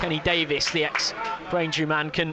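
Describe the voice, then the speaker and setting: Music plays in the background. A man talks at a moderate pace with a fairly high pitch. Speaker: football commentator. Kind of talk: radio football commentary.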